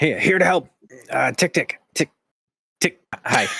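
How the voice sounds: A raspy, put-on character voice sits at a middle pitch. It moves at a moderate pace.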